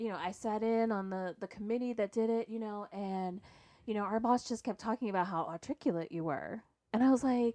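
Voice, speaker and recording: The tone is animated, with ordinary pitch variation and a fairly quick pace. The sound is dry and close with no echo. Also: woman, fairly high pitch for a woman. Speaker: podcast co-host. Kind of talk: casual chat. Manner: animated, joking.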